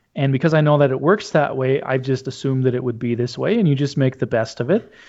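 Fairly quick, fairly high-pitched speech from a man with an Upper Midwest accent. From North Dakota, rural. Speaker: Lutheran pastor. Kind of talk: interview.

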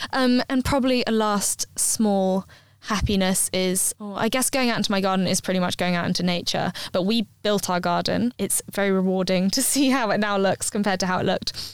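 With a southern English accent, a woman talks at a fairly quick pace. Her pitch is medium and her intonation fairly even. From London. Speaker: ultra marathon runner and fitness blogger. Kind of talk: casual interview chat.

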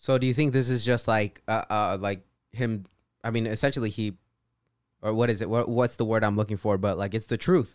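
Using a plain, everyday voice, a man speaks at a fairly quick pace and medium pitch with fairly even intonation, captured on a very clean recording with a silent background. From California Central Valley. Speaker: podcast guest. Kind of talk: casual chat.

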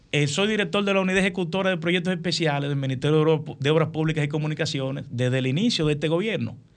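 A man's fairly high voice at a very fast pace, very even in loudness, with audible room echo. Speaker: engineer, professor and congressional candidate. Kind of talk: radio interview.

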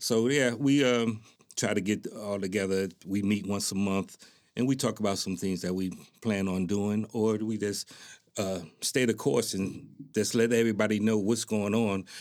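A man has an unremarkable speaking voice, fairly low in pitch. He talks at a moderate pace with fairly even intonation on a very clean recording with a silent background. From Newark, New Jersey. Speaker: military veteran, community organization president. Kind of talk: interview. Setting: studio.

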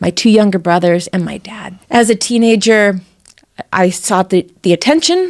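A woman's fairly slow speech in an American accent, with fairly even intonation. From US West Coast, San Diego. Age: 50s. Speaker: political candidate. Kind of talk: interview testimony.

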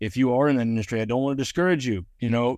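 With an American accent, a man speaks at a fairly quick pace in a dark, mellow tone with ordinary pitch variation against a quiet background. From Georgia, US South. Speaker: former film extra. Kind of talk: testimony. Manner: halting.

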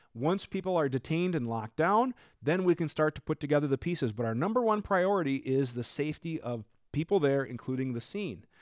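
A man with an American accent and an unremarkable speaking voice talks fairly quickly in a fairly high pitch with lively intonation, in a very clean, silent recording with a dry, close sound and no echo. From Minnesota. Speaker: firearms podcast host. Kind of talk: live-streamed Q&A with viewer comments. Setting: live stream, studio with new microphone. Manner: casual, conversational.

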